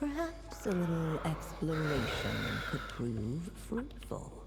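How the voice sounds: A woman uses a put-on character voice, low-pitched for a woman, with very wide pitch swings. She speaks at a slow pace over clear background noise.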